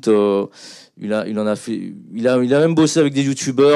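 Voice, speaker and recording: A man speaks at a medium pitch and a fairly slow pace. The background is quiet. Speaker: music video director; guest. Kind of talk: panel talk. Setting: stage with audience. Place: hall. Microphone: handheld.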